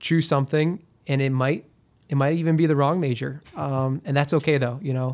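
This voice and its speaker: Here is a man with a plain, everyday voice and fairly high pitch, at a moderate pace. The recording is very clean, with a silent background. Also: fairly even intonation. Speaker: alumnus guest. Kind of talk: casual interview. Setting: studio.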